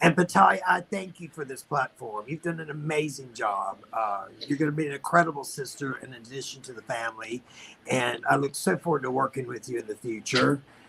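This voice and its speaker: At a fairly quick pace, the speech shows ordinary pitch variation and big swings in loudness over noticeable background noise. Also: man, fairly high pitch for a man. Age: 50s. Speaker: drag performer, former pageant winner. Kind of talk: tribute speech on a video call.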